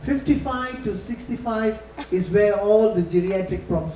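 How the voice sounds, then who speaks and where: A man with a high pitch and lively intonation speaks at a fairly slow pace, with audible room echo and noticeable background noise. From Malaysia, grew up on an estate. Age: 70s. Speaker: corporate communications consultant, guest lecturer. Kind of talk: lecture.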